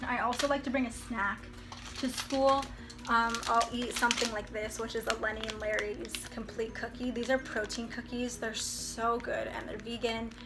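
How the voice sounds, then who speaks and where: With audible room echo and noticeable background noise, a woman speaks at a fairly high pitch in a monotone, flat intonation. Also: moderate pace. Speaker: college student vlogger. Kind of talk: casual vlog. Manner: casual, filler-heavy.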